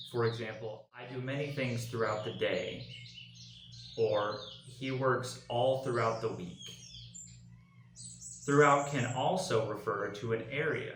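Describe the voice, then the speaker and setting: Fairly slow speech broken by long, frequent pauses, with fairly even intonation. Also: man, medium pitch for a man. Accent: Southern US. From Arkansas, USA. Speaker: English pronunciation teacher. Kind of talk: pronunciation tutorial talk to camera. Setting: home recording with background noise.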